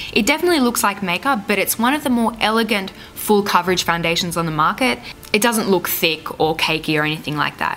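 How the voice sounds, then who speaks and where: A woman at medium pitch speaks very fast with very wide pitch swings over noticeable background noise. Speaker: beauty vlogger. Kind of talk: makeup tutorial talk to camera.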